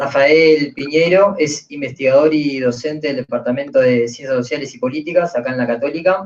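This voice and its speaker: A man speaks with hardly any pauses. His pitch is fairly high, with ordinary variation. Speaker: panel moderator. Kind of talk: panel moderation. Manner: fast.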